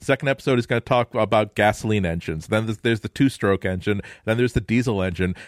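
This man talks at a very fast pace with a fairly low pitch and ordinary pitch variation. The recording is very clean, with a silent background and a dry, close sound with no echo. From North America. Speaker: podcast panelist. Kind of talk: casual chat.

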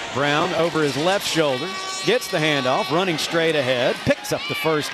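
A man speaks with music playing behind him. His pitch is fairly high. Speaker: radio play-by-play announcer. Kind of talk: live play-by-play sports commentary. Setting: radio broadcast booth at stadium. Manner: animated, clipped, informative.

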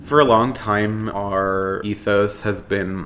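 A man with an American accent has a fairly low pitch, a bright, sharp tone and ordinary pitch variation, with audible room echo around him. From South Florida (Boca Raton). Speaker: queer nightlife party organizer. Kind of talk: documentary interview.

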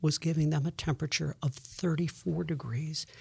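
On a very clean recording with a silent background, a somewhat breathy man speaks at a moderate pace in a dark, mellow tone with ordinary pitch variation. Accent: American. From Buffalo, New York. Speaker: meteorologist. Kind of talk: interview.

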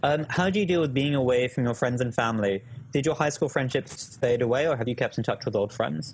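Speaking very fast, a man uses a British accent. His pitch is medium. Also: ordinary pitch variation. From United Kingdom. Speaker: education YouTuber and startup employee. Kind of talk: casual chat in live Q&A stream. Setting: live stream video call.

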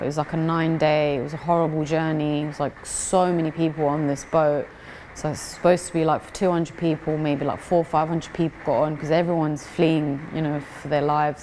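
A woman with a London accent talks at a fairly quick pace with hardly any pauses, in a very deep, low pitch. Her intonation is monotone and flat, with noticeable background noise behind her. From East London, England. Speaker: amateur boxer. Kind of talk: interview. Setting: boxing gym.

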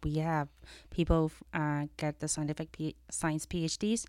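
A woman's very deep, low voice with a Chinese accent, in fairly even intonation, on a very clean recording with a silent background. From China. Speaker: venture capital partner. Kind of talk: casual interview chat. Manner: hesitant, many fillers.

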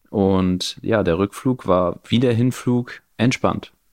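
Over a quiet background, a man talks at a very slow pace with ordinary pitch variation and a dry, close sound with no echo. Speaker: podcast host and new father. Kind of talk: casual chat.

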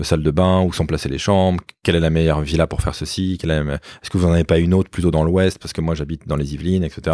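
Very deep and low, a man's dark, mellow voice stays flat and monotone on a very clean recording with a silent background, dry and close with no echo. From Paris suburbs, France. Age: 40s. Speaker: entrepreneur. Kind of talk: interview.

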